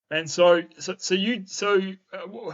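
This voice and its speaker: A man is speaking. He has a New Zealand accent. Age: 20s. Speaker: podcast host. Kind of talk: casual chat. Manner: halting, repetitive.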